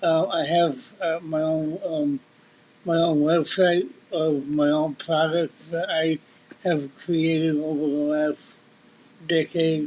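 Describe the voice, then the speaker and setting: A man's very slow, monotone, flat speech at a fairly high pitch, with long, frequent pauses over noticeable background noise. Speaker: mentalist and musician. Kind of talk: interview conversation. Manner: halting, repetitive starts.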